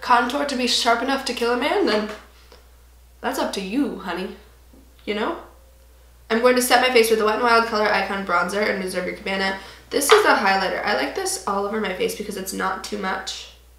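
There is audible room echo as a woman speaks at a fairly quick pace. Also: ordinary pitch variation. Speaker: beauty vlogger. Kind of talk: tutorial. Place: home room.

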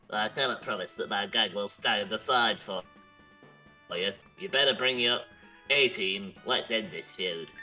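A put-on character voice sits at a low-to-middle pitch and moves at a moderate pace. Long, frequent pauses break it up while clear music plays in the background. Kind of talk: gruff, street-tough. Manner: tough, threatening.

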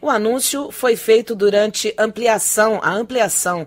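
A woman is speaking. Her pace is fairly slow. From Brazil. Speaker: news anchor. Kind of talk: news reading. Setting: studio. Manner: formal. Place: studio.

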